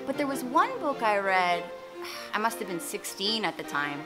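Music is clearly audible behind the voice. A woman does the talking. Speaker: vlogger. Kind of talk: casual vlog chat. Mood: playful, animated. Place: garden. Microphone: phone near.

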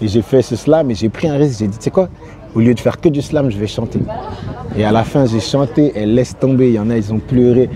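Against noticeable background noise, a man at a medium pitch talks at a fairly quick pace with ordinary pitch variation. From France, Rennes (born in Congo). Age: 30s. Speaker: singer. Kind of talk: interview. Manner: casual, conversational.

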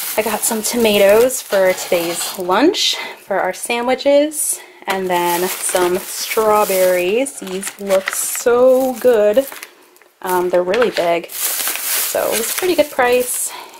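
A very slow pace over noticeable background noise. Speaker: family vlogger. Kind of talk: casual vlog chat. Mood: cheerful, relaxed. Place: home room. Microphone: phone near.

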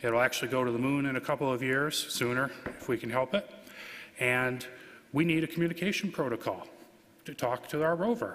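A man speaks fairly quickly, his pitch rising and falling in an ordinary way. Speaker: conference presenter. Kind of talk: lecture. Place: hall. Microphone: podium.

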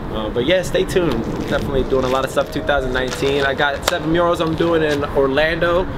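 Over loud background noise, a man with a fairly high pitch talks at a fairly quick pace with fairly even intonation. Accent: American. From Philadelphia. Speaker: muralist artist. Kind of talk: casual interview. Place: street.

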